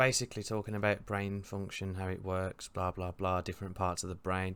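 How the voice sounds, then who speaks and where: In a Birmingham accent, a man with a fairly low pitch and an upbeat tone speaks at a moderate pace in a very clean recording with a silent background. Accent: Brummie. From Birmingham, England. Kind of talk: casual reaction commentary. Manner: upbeat, jokey.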